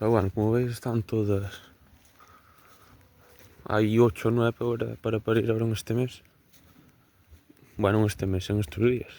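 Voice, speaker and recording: A man speaks at a moderate pace with medium pitch and a dark, mellow tone. His intonation is monotone and flat, broken by long, frequent pauses. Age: 20s. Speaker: cattle farmer. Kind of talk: casual talk to camera. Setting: outdoors.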